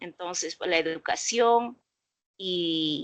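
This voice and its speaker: A woman speaks with an Andean accent and ordinary pitch variation. The background is quiet. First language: Quechua (speaking Spanish). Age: 60s. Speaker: domestic workers' rights activist. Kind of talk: interview. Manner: halting, many fillers.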